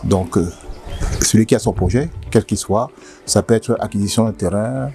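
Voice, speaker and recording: A man's fairly low voice with lively intonation at a moderate pace. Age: 60s. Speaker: company director. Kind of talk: interview. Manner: halting.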